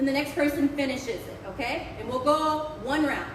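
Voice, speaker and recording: Over noticeable background noise and audible room echo, a woman with an American accent talks in an animated tone at a high pitch and a moderate pace. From US Midwest, Ohio (Dayton, Cincinnati). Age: 30s. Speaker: performer and acting teacher. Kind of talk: live performance talk to audience. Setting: stage with live audience.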